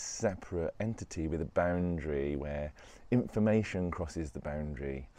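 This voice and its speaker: A man's very deep, low voice in a dark, mellow tone, set against a quiet background. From West Midlands, England. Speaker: spiritual self-help vlogger. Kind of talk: reflective monologue. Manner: casual, with hesitations.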